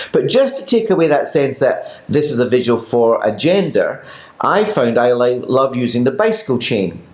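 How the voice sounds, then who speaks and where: With noticeable background noise, a man talks at a moderate pace in a fairly high voice with lively intonation. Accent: Scottish. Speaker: pilates teacher. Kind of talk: casual chat.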